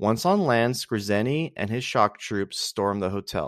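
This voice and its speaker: Medium pitch from a man with an unremarkable speaking voice and ordinary pitch variation, in a dry, close sound with no echo against a quiet background. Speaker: podcast host. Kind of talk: reading aloud a history write-up. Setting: solo home recording. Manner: measured, steady narration with a storyteller's cadence.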